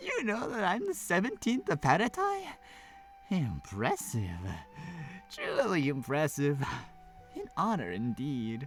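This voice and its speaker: Clear music plays in the background. Over it, a man uses a high-pitched, put-on character voice at a fairly slow pace. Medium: game stream. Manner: jovial, laid-back.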